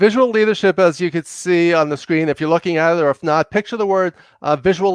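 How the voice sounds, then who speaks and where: A man with a New York accent talks at a fairly quick pace and fairly high pitch with lively intonation, in a dry, close sound with no echo and a quiet background. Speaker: leadership consultant and executive coach. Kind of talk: podcast interview. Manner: fast; loud.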